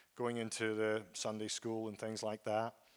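In a very clean recording with a silent background, a man with a Scottish accent talks at a moderate pace in a dry, close sound with no echo. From Scotland, Aberdeen area. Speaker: guest preacher. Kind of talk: sermon. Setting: church.

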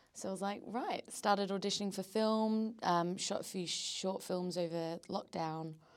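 Over noticeable background noise, a woman at medium pitch talks at a moderate pace with fairly even intonation and hardly any pauses. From Australia. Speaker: actor. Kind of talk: casual podcast interview.

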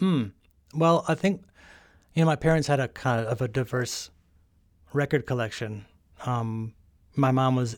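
A man with an American accent, medium pitch and ordinary pitch variation at a moderate pace, on a very clean recording with a silent background. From Chicago suburbs, US Midwest. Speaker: musician. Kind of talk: casual chat.

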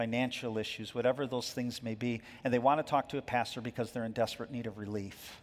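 A man's medium-pitched, monotone voice at a fairly quick pace. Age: 50s. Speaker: pastor. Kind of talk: sermon. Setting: church.

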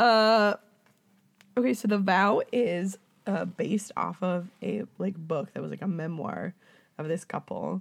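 The speaker talks fairly slowly in an animated tone, with vocal fry and ordinary pitch variation, leaving long, frequent pauses. The recording is very clean, with a silent background. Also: woman, medium pitch for a woman. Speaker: podcast host. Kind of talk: casual chat. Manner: animated, does many voices and accents.

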